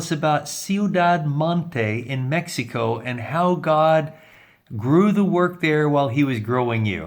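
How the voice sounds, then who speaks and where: A man's normal speaking voice, fairly high in pitch, with lively intonation. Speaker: interviewer. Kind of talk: interview questions.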